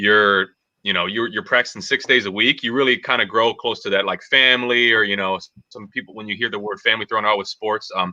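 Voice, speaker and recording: A man with an American accent talks in an ordinary speaking voice at a medium pitch and fairly quick pace, with fairly even intonation and hardly any pauses. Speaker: former college track athlete. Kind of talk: casual panel discussion.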